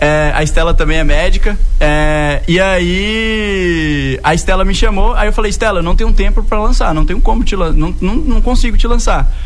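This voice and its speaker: A man talks at a moderate pace with hardly any pauses. The room echo is audible, and background noise is noticeable. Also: very even loudness. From interior of Bahia, Brazil. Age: 20s. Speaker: tech entrepreneur. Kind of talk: radio interview.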